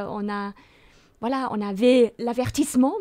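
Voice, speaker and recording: A woman with a slight German accent speaks in a dark, mellow tone with fairly even intonation against a quiet background. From Germany. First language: German (speaking French). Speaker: theology professor. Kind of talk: Bible study discussion. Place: studio. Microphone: studio mic.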